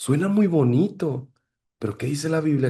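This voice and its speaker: A somewhat breathy man's voice, fairly high in pitch with ordinary pitch variation, against a quiet background. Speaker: pastor teaching a ministry class. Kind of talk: lecture.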